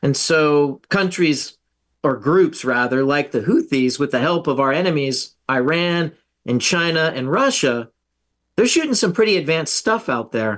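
A plain, everyday voice with an American accent, lively intonation and a moderate pace over a quiet background. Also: man, fairly high pitch for a man. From US South. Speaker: retired navy officer, defense researcher. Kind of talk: interview.

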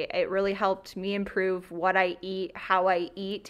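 A woman talks at a moderate pace. She has an Ontario accent. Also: very clean recording, silent background. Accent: Canadian (Ontario). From rural southwestern Ontario, Canada. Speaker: healthcare clinic operations director. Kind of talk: radio talk show interview.

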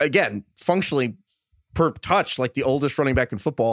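A man with a New York accent talks at a fairly quick pace, the sound dry and close with no echo. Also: very clean recording, silent background. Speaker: fantasy football podcast host. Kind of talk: casual chat.

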